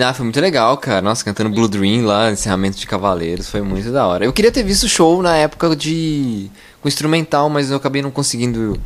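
In an unremarkable speaking voice, a man talks fairly quickly at medium pitch, with lively intonation and hardly any pauses. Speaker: podcast host. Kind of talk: casual chat.

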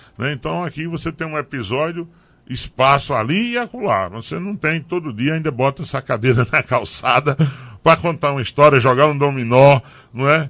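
With an unremarkable speaking voice, a man talks at a moderate pace and a fairly high pitch, his intonation lively against a quiet background. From Pernambuco sertão, Brazil. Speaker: politician, former mayor. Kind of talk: radio interview. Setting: radio studio.

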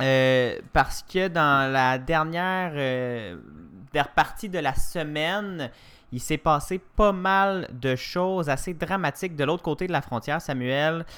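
The speech is very slow, with ordinary pitch variation and a bright, sharp tone. The recording is very clean, with a silent background. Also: man, fairly high pitch for a man. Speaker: news podcast host. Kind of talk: morning news chat.

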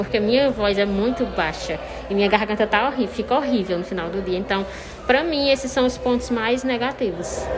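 A woman with a fairly high pitch and ordinary pitch variation talks at a fairly quick pace over noticeable background noise. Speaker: university lecturer. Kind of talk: vox pop interview statement.

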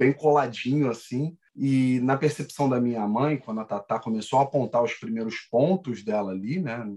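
At a moderate pace, a man talks in an ordinary speaking voice, his pitch varying in an ordinary way. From Rio de Janeiro. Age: 30s. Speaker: salesperson. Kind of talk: casual chat.

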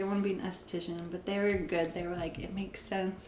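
A woman is speaking with audible room echo. Noticeable background noise can be heard too. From Arizona. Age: 20s. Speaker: esthetician. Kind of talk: casual chat.

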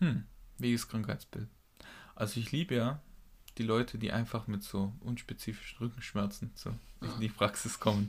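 At a moderate pace with long, frequent pauses, a man speaks in a somewhat breathy voice of medium pitch and ordinary pitch variation. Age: 20s. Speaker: physiotherapy trainee and podcast co-host. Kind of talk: casual chat.

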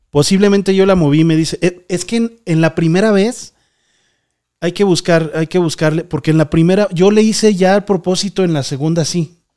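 With a Mexican accent, a man talks at a moderate pace, his pitch high for a man and his tone dark and mellow. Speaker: paranormal podcast host. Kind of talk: live stream call-in show. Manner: animated.

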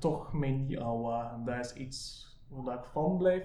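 A man's voice comes through with noticeable background noise around it. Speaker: podcast host. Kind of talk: casual interview chat. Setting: recorded on location.

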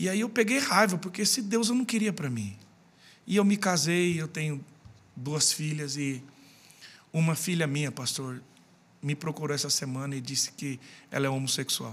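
Lively intonation at a moderate pace, with long, frequent pauses. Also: man, fairly high pitch for a man. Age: 40s. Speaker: pastor. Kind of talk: casual chat.

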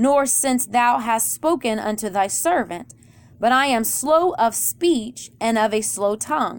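On a very clean recording with a silent background, a woman with an American accent speaks fairly slowly in a high pitch with lively intonation. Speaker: pastor. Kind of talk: sermon.

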